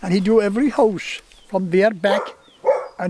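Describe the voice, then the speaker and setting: Over noticeable background noise, a man with a West Cork accent talks in a high pitch with ordinary pitch variation. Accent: Irish, West Cork. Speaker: storyteller. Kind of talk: oral history interview answer.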